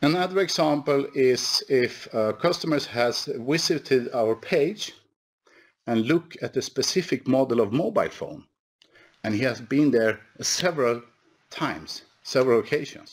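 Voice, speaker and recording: The speaker has a Swedish accent and talks at a fairly slow pace. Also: man, fairly high pitch for a man, ordinary pitch variation, quiet background. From Sweden. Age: 50s. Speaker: company executive; presenter. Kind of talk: conference presentation. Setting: online webinar. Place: office. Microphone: headset.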